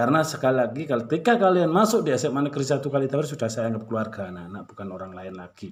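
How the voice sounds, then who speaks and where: With a slight Malang accent, a man talks at a very fast pace with hardly any pauses, a warm tone at medium pitch, very wide pitch swings and big swings in loudness. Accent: slight Malang Javanese accent, stiff. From Malang, East Java, Indonesia. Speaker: high school teacher. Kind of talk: class introduction to students. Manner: casual, warm address to pupils.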